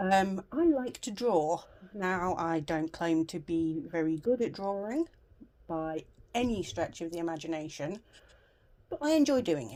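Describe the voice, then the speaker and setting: With very wide pitch swings, a woman speaks at a very slow pace in a dark, mellow tone. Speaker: crafts vlogger. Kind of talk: casual chat. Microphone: new round the neck mic, occasional rumble.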